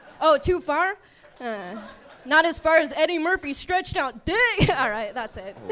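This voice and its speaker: At a moderate pace, the voice makes very wide pitch swings and big swings in loudness over noticeable background noise. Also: woman, high pitch for a woman. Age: young. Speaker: comedian. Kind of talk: stand-up. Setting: stage with audience.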